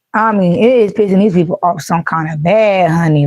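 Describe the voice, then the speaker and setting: Dry and close with no echo, a woman's medium-pitched voice moves at a moderate pace with ordinary pitch variation. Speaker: tarot reader. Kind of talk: psychic reading monologue. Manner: animated.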